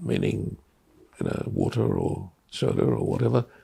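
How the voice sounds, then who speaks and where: The speaker is a man. His speech carries an Australian accent. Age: 80s+. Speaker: artist. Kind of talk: oral history storytelling. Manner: warm, humorous.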